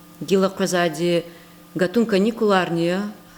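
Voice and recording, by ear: Delivery moves along at a moderate speed. The voice rises and falls in a normal, unremarkable way. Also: woman.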